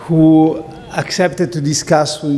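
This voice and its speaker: Speech in an Italian accent at a very slow pace, with audible room echo and noticeable background noise. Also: man. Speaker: philosophy professor. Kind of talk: lecture. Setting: lecture hall with audience.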